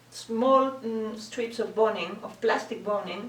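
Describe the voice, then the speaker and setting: Amid noticeable background noise, a woman with a non-native accent and a fairly high voice speaks at a very slow pace. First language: not English. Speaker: bridal dressmaker. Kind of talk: tutorial talk to camera. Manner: hesitant, many fillers.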